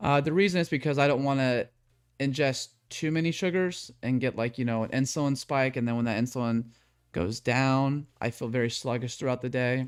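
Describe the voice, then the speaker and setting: A man at medium pitch and a fairly quick pace, with ordinary pitch variation, in a very clean recording with a silent background. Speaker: fitness coach streamer. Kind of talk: live stream talk. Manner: fast; casual.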